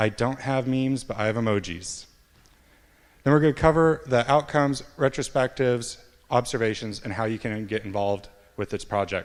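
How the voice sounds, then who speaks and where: A man's medium-pitched voice with an American accent, fairly quick in pace, with ordinary pitch variation. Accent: American, noticeable in Cornwall. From US, Montana. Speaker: software developer, conference speaker. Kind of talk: conference talk. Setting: stage with audience.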